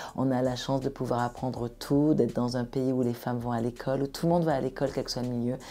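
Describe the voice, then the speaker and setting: A woman's very deep, low voice, dark and mellow in tone, at a very fast pace with hardly any pauses and a monotone, flat intonation. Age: 50s. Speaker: entrepreneur. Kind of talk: podcast interview.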